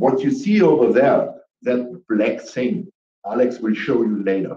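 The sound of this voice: A man speaks at a fairly slow pace in a dark, mellow tone. Audible room echo surrounds his voice. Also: medium pitch for a man, ordinary pitch variation.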